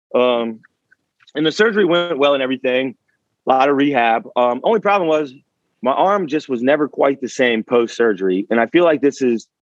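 An ordinary speaking voice with an American accent moves at a fairly quick pace, its intonation lively. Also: man, medium pitch for a man. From Richmond, Virginia. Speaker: personal trainer. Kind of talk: interview.

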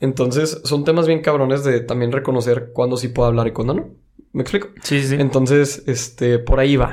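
With a Monterrey accent, this man talks in a fairly even intonation. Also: medium pitch for a man, moderate pace. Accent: Monterrey accent, posh-sounding. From Monterrey, Mexico. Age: 20s. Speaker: university student. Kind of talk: casual chat.

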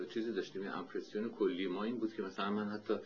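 A man with a fairly low pitch talks at a very fast pace over noticeable background noise. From Iran, Tehran. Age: 50s. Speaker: architect and painter. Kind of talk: oral history interview.

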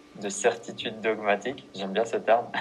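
There is noticeable background noise behind this man. His intonation is monotone and flat. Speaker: podcast host. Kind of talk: casual interview. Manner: halting, repeats words. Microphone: poor sound quality on his parts.

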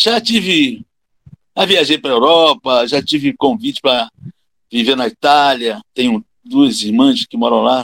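Speaking at a fairly slow pace, a man with a bright, sharp tone makes very wide pitch swings, recorded with a dry, close sound and no echo. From Rio de Janeiro, Brazil. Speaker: capoeira master and physical education teacher. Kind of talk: casual interview conversation.

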